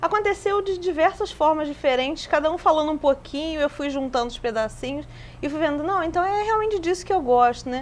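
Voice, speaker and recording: A woman with an extremely high pitch talks at a fairly quick pace. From Brazil, Rio de Janeiro. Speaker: museologist. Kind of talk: TV interview. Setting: TV studio.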